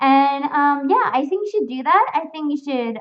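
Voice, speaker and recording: A woman talks in an American accent. Her intonation is lively. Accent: sounds very American. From Spain. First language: Spanish. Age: 20s. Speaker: fursuit streamer. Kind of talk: live stream chat reading comments. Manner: casual, filler-heavy.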